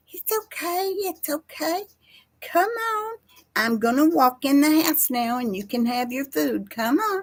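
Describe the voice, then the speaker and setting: Soft-spoken and high-pitched, a woman uses a put-on character voice at a fairly slow pace. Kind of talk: gentle cat-talking voice. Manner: soft, coaxing.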